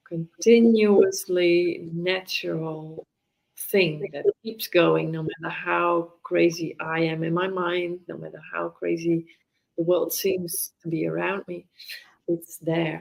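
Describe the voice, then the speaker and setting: A woman with a Dutch accent, very slow pace and big swings in loudness. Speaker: mindfulness teacher. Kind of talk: casual conversation interview. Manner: halting.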